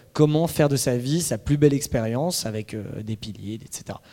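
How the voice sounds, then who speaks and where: This man has a dark, mellow tone at a medium pitch. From Paris suburbs, France. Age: 30s. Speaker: startup founder. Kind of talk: talk presentation. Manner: hesitant with fillers.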